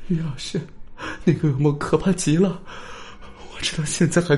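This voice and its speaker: A shaky, put-on character voice at middle pitch. The pace is moderate. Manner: trembling, sobbing.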